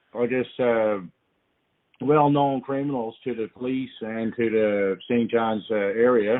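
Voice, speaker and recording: A man with a Newfoundland accent, medium pitch and fairly even intonation. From Newfoundland, Canada. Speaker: podcast listener calling in. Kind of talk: voicemail message. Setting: phone voicemail. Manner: hesitant, many fillers.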